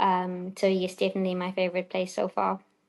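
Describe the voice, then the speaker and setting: A woman speaks with a strong South African accent. Her medium-pitched voice stays in a monotone, flat intonation. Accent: South African, still quite strong. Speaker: doctor. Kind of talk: podcast interview.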